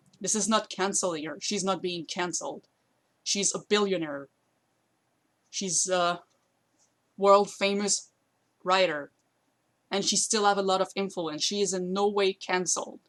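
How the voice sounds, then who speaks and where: With a non-native accent, the speaker goes at a fairly slow pace with long, frequent pauses and fairly even intonation against a quiet background. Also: woman, medium pitch for a woman. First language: not English. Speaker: YouTuber commentator. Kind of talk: commentary video while streaming to friends. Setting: live stream on voice chat with friends. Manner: halting, with fillers.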